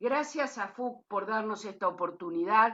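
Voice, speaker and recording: An unremarkable speaking voice at a fairly slow pace. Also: woman. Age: 60s. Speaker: lawyer and cooperative member. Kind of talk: closing remarks at a talk.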